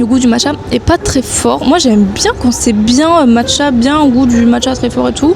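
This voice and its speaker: A woman with a high pitch, heard against noticeable background noise. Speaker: food vlogger. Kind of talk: casual vlog food review. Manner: fast.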